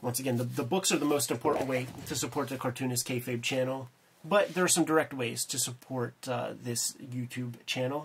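This somewhat breathy voice moves at a fairly quick pace in an American accent, with light background noise. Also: man. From Pennsylvania. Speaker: cartoonist and YouTube co-host; YouTube co-host. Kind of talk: casual chat about comics. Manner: animated, profane. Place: home room.

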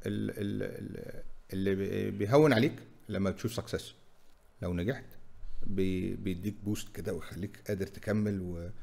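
A man's fairly low, dark, mellow voice with lively intonation at a moderate pace. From Egypt, Cairo. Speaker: fintech company CEO; guest. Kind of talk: interview. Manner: halting, repeats words. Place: studio. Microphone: studio mic.

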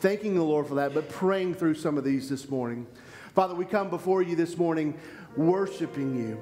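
With faint music in the background, a man speaks at a high pitch. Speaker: pastor. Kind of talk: spoken prayer and scripture reading. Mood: earnest, reverent. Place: church. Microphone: headset.

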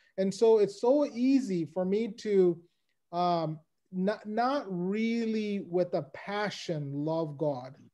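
Over a quiet background, the voice moves at a very slow pace with a dark, mellow tone and lively intonation. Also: man, high pitch for a man. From United States. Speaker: lay Bible teacher. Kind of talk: Bible lecture. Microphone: video call.

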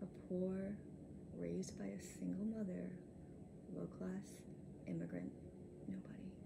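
A woman talks at a fairly slow pace with noticeable background noise around her. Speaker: actor performing a film monologue. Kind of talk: dramatic monologue, self-tape audition style. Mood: confrontational yet composed, emotional. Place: home room.

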